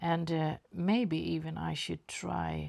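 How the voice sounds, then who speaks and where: In a Swedish accent, a woman speaks at a very slow pace. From Sweden. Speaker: watercolour artist. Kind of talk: painting tutorial. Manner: halting.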